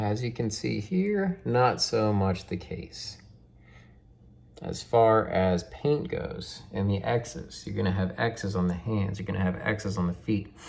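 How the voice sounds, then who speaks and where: Ordinary pitch variation runs through the speech. The delivery moves at a fairly slow pace. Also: man, fairly low pitch for a man. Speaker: toy collector and YouTuber. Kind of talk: unboxing tutorial. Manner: casual, filler-heavy; quieter to not disturb daughter.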